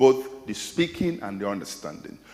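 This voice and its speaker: A man with a Nigerian accent speaks at a medium pitch, his voice carrying audible room echo. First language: Igbo. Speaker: academic lecturer. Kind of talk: lecture Q&A answer. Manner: hesitant, repeating words.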